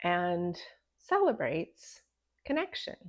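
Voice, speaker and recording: Soft-spoken and calm, a woman talks in a relaxed tone at a fairly slow pace against a quiet background. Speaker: relationship strategist. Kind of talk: ASMR conversational talk to camera. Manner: soft-spoken, slow; calm, relaxed.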